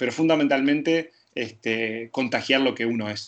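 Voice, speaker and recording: His pitch moves in an ordinary way as this man talks. Nothing can be heard behind him. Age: 30s. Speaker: fitness coach. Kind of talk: interview. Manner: halting.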